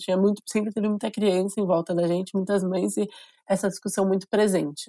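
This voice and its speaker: A woman's medium-pitched voice with a dark, mellow tone, monotone, flat intonation and a fairly quick pace, in a very clean recording with a silent background. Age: 30s. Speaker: state legislator. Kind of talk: interview.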